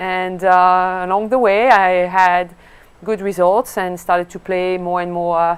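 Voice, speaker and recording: Using a French accent, a woman speaks at a medium pitch and a fairly slow pace with monotone, flat intonation. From France. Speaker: golf coach and former pro golfer. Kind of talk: interview. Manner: hesitant, many fillers.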